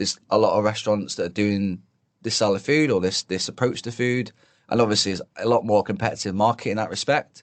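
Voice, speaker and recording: Against a quiet background, the speaker talks at a very fast pace with a strong British accent and ordinary pitch variation. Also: man. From northern England. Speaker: chef. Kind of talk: podcast interview answer. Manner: casual, hesitant.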